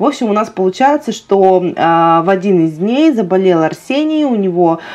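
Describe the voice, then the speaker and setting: Moving through very wide pitch swings, a woman speaks at a moderate pace. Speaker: family vlogger. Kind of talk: casual vlog chat. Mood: storytelling, mildly exasperated. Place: home room. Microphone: lapel.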